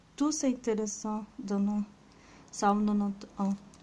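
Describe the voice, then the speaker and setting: With a non-native accent, a woman speaks at a fairly high pitch. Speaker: religious video creator. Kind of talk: devotional reflection. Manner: halting.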